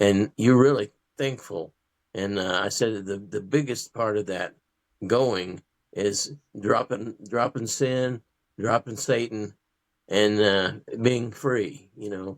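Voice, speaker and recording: A man with an American accent talks at a very slow pace and fairly low pitch, with long, frequent pauses. His intonation is fairly even and the sound is dry and close with no echo. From Southwest Missouri / Southeast Kansas. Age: 70s. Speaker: author and educator. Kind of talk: interview testimony. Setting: podcast interview. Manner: halting, many fillers.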